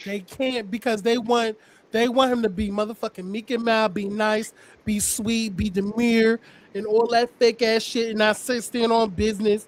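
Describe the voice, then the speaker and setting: Loud and high-pitched, a man talks at a moderate pace in a monotone, flat way. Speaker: podcast host recapping reality TV. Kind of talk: casual chat.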